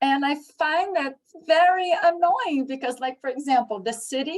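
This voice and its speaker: This woman talks at a fairly slow pace, her high-pitched voice carried by lively intonation. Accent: Brazilian. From Brazil. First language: Portuguese. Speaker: English teacher and program coordinator. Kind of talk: conference presentation Q&A. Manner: halting, with many fillers.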